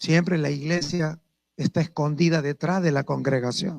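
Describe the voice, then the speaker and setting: A man at a moderate pace, with a dry, close sound and no echo. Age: 60s. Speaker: apostle preacher. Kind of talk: sermon.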